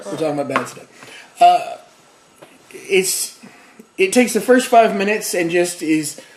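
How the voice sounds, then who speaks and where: Very wide pitch swings and big swings in loudness at a moderate pace, with long, frequent pauses over noticeable background noise. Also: man, high pitch for a man. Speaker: YouTube host of a bad-movie review show. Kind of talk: casual talk to camera, comedic movie review.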